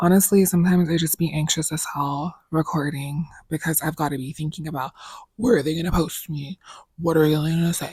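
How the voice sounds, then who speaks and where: A somewhat breathy voice at a fairly quick pace with fairly even intonation. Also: woman, very deep, low pitch for a woman. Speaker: content creator who records videos. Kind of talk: casual slang. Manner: casual, sassy, outspoken.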